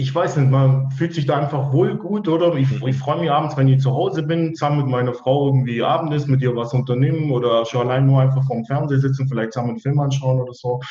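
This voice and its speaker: Amid noticeable background noise and audible room echo, a man at a medium pitch talks at a very fast pace with hardly any pauses and fairly even intonation. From Allgäu, southern Germany. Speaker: service technician. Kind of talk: interview. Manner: hesitant, many fillers.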